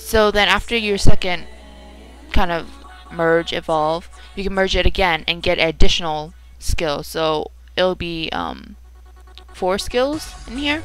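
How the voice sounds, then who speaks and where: Fairly slow delivery with ordinary pitch variation and big swings in loudness, set over background music. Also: woman, fairly low pitch for a woman. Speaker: gaming video creator. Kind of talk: casual gameplay commentary.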